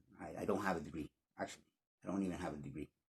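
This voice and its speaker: A man with a slight Spanish accent speaks in a dry, close sound with no echo. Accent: slight Spanish accent, near-native English. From Spanish-speaking country. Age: 50s. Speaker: English learning YouTuber. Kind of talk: casual vlog monologue. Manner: halting, many repetitions and restarts.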